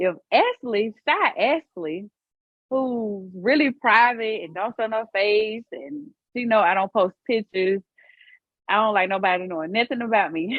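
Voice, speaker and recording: A woman with a Southern US accent, a fairly high pitch and lively intonation, at a fairly slow pace. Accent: country, Southern US. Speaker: podcast co-host. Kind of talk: casual chat.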